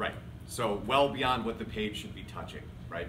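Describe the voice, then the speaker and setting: Speech comes at a moderate pace with ordinary pitch variation. There is noticeable background noise and audible room echo. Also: man. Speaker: marketing speaker. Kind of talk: presentation.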